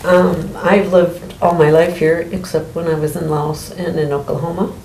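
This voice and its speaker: Over noticeable background noise and audible room echo, a woman with an Upper Midwest accent speaks at a moderate pace in a fairly low, flat monotone. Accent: Upper Midwest American. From Saint Paul, Minnesota. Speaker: interviewee. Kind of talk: interview.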